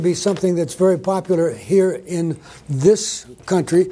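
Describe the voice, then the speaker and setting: Here a man's high pitch comes with a dark, mellow tone. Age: 70s. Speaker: physician giving a conference talk. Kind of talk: conference presentation. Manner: fast.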